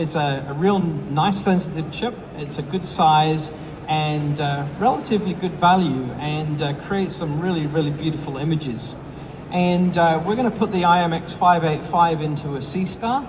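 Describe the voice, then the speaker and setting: With an American accent, a man speaks at a moderate pace in a fairly high pitch, his pitch variation ordinary. Noticeable background noise and audible room echo surround his voice. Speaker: product support engineer and astro imager. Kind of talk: product presentation. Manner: hesitant, many fillers.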